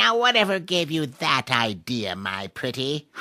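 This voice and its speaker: A put-on character voice at low-to-middle pitch, with very wide pitch swings and a moderate pace. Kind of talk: comic fairy-tale voice acting. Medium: read story. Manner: cackling.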